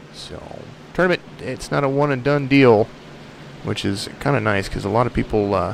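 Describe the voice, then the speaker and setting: A man speaks at a moderate pace with a medium pitch and lively intonation, with noticeable background noise behind him. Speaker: sim racing commentator. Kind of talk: live commentary.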